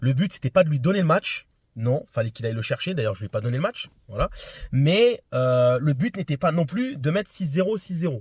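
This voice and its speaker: A man talks at a fairly quick pace in a fairly high voice with very wide pitch swings. The sound is dry and close, with no echo. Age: 20s. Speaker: amateur tennis vlogger. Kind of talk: casual vlog debrief. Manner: hesitant, many fillers.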